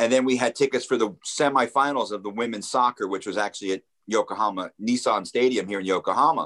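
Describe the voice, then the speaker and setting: A man with an American accent speaks at a very fast pace and a medium pitch, with ordinary pitch variation. The sound is dry and close, with no echo. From New Jersey, Ocean County shore. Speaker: radio producer. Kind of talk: casual chat. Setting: visiting Japan.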